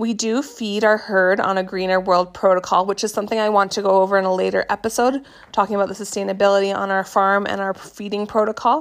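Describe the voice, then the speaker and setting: Speaking very fast with hardly any pauses, a woman with a Canadian accent keeps a medium pitch and fairly even intonation. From Canada. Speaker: podcast host, goat farmer. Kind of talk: casual solo podcast monologue.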